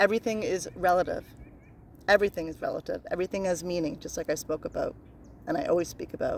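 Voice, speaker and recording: A woman's voice in a Newfoundland accent. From Newfoundland, Canada. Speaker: spiritual self-help vlogger. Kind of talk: casual monologue about spiritual laws. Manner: repetitive, occasionally stumbles over words.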